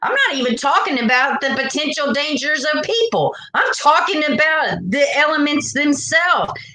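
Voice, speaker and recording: A woman speaks in a raised, projected voice at a high pitch and moderate pace, with an animated tone. Noticeable background noise and audible room echo surround her. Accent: Southern US. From US South. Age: 40s. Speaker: true crime livestreamer. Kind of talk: casual livestream chat.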